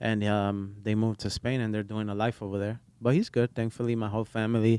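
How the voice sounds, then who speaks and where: A man speaks fairly quickly in a fairly low, dark, mellow tone with monotone, flat intonation. The sound is dry and close with no echo. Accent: slight Spanish. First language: Portuguese. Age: 20s. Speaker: barber. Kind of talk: casual chat.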